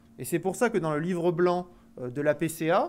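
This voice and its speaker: A man with a southwestern French accent, high in pitch, at a fairly quick pace. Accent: southwest French. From southwest France. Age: young. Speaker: agricultural finance executive. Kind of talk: conference talk. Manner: hesitant, many fillers.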